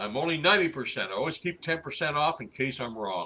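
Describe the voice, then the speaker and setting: The voice has a bright, sharp tone with vocal fry and very wide pitch swings, moving at a fairly quick pace. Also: man. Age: 60s. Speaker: Sasquatch researcher. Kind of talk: interview.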